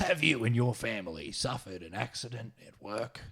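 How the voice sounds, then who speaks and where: At a moderate pace, a man puts on a character voice at a medium pitch. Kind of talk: ad announcer voice.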